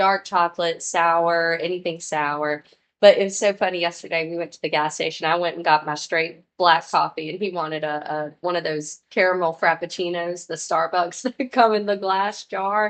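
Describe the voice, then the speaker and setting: A woman speaks at a moderate pace with fairly low pitch, fairly even intonation and hardly any pauses. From Mississippi (Hattiesburg), US South. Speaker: comedian. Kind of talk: casual chat.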